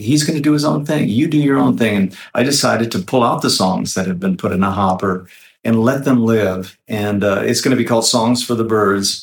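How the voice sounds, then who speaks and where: At a moderate pace, a man with a normal speaking voice talks at a medium pitch with lively intonation. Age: 60s. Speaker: singer-songwriter. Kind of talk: interview, casual chat.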